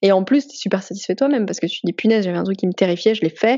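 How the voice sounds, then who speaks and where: A woman talks at a medium pitch with ordinary pitch variation. It is an ordinary speaking voice. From France. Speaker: comics artist. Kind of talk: casual interview.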